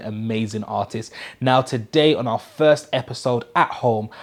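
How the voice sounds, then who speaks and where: A man talks fairly slowly at medium pitch in a plain, everyday voice. The recording is very clean with a silent background. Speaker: interview show host. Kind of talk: show intro to camera. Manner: upbeat.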